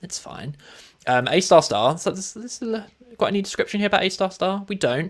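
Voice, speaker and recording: Upbeat man with a high voice at a fairly quick pace. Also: lively intonation, big swings in loudness. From Europe. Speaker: esports-style shoutcaster for a programming game tournament. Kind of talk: live tournament commentary. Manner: casual, chatty, upbeat.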